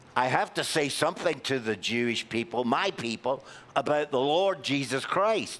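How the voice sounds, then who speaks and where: A man with a Glaswegian accent speaks at a fairly slow pace. His medium-pitched voice carries lively intonation. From Scotland, Glasgow. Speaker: Bible class teacher. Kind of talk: Bible class lecture with discussion.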